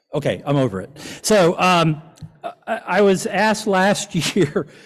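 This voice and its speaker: Here a man speaks in an ordinary speaking voice at a fairly slow pace, with ordinary pitch variation. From US South. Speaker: event presenter, local government official. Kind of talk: award presentation at a dinner. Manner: casual, joking.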